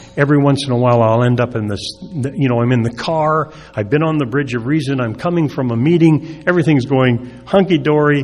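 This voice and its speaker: Amid noticeable background noise and audible room echo, a man talks fairly quickly at a medium pitch with ordinary pitch variation. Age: 70s. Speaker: recovery speaker. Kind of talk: recovery talk. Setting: stage with audience. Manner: halting.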